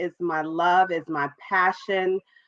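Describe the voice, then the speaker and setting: Speaking very slowly, a woman with a New York accent uses a fairly low voice. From New York, Brooklyn. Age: 40s. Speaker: entrepreneur and author. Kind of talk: interview.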